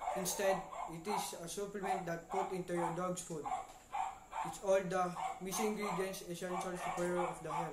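A man speaks at a moderate pace. Loud background noise sits behind him. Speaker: infomercial presenter. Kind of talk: infomercial read. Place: home room. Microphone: webcam.

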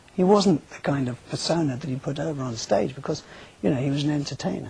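The sound is dry, with no echo. A man speaks with ordinary pitch variation. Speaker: guest. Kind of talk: interview answer. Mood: subdued, grieving, hesitant. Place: studio.

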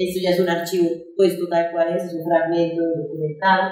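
With audible room echo, a woman speaks at a fairly low pitch in a dark, mellow tone and a monotone, flat intonation. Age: 40s. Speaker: performance artist. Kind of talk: artist talk. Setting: festival talk with audience.

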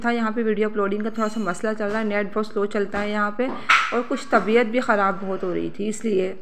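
Audible room echo and noticeable background noise surround a woman's voice. Her pitch is fairly high, and her intonation is monotone and flat. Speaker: family vlogger and home cook. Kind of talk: vlog narration with recipe tutorial. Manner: casual, chatty.

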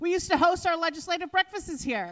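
Over a quiet background, a woman with an extremely high pitch talks at a fairly quick pace. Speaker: labor council president, MC. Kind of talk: welcome speech. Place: hall. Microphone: handheld.

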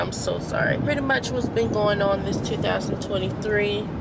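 Loud background noise surrounds a woman speaking at a moderate pace. Her sound is dry, with no echo. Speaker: vlogger. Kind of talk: casual vlog chat. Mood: calm, affirming, grateful. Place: car. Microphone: phone near.

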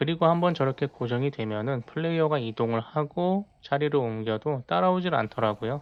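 An unremarkable speaking voice runs at a fairly quick pace with lively intonation and hardly any pauses. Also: man, fairly high pitch for a man. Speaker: gaming YouTuber. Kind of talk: gameplay commentary tutorial.

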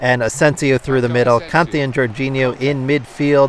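This is an ordinary speaking voice at a moderate pace. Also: man. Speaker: gaming YouTuber. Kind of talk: live play-by-play commentary over FIFA gameplay. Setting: video game recording voiceover. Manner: upbeat, friendly, conversational.

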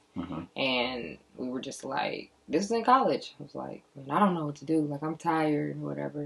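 At a moderate pace, a woman speaks with vocal fry. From St. Louis, Missouri (Baden); Missouri. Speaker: singer-songwriter; interviewee. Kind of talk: interview. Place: studio.

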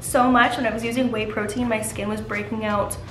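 Music in the background behind a woman speaking amid audible room echo. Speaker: lifestyle vlogger. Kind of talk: casual vlog chat with product promotion. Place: kitchen. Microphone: camera far.

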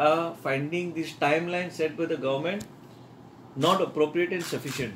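A man speaks in a high register with ordinary pitch variation. Light background noise can be heard. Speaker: politician addressing the press. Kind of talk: press statement. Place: office. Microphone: handheld.

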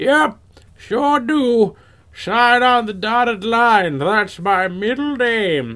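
A man's put-on character voice, extremely high-pitched and very slow. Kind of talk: comic overacting. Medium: game stream. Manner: evasive, sarcastic, dismissive; callous and amused.

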